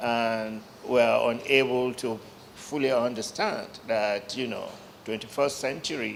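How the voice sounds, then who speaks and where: A man at a fairly slow pace with audible room echo. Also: medium pitch for a man, fairly even intonation. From Nigeria, Lagos. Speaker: journalist. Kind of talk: panel discussion.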